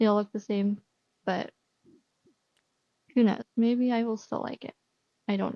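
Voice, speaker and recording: A woman's fairly high voice at a moderate pace, monotone and flat, with long, frequent pauses and big swings in loudness. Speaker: gaming youtuber. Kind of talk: casual gameplay commentary. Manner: casual, hesitant with many fillers.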